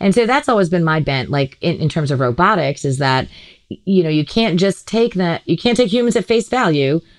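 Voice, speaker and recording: Her voice is fairly low-pitched and very even in loudness, yet a woman's pitch swings very widely. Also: fairly quick pace. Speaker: comedian and healthcare worker. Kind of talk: casual chat.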